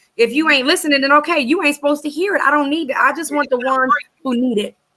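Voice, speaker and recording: The voice is raised and projected, bright and sharp in tone, and animated. It races along at a very fast pace with ordinary pitch variation. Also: woman. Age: 40s. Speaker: guest sharing personal story of adversity. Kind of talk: testimony.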